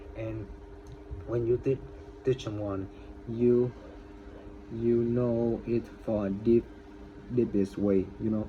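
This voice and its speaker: A man's very slow, monotone delivery at medium pitch, flat in intonation and broken by long, frequent pauses. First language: not English. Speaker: English learner vlogger. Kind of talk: casual vlog monologue. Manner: halting, many repetitions.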